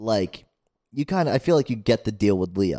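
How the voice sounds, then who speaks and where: This man talks with an American accent and lively intonation. The sound is dry and close, with no echo. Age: 20s. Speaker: podcast co-host. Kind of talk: casual chat. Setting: in person at a friend's place.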